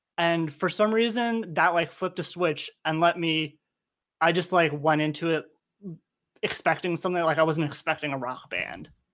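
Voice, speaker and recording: A man's high-pitched voice with ordinary pitch variation at a moderate pace, in a very clean recording with a silent background. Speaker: podcast host. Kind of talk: casual chat.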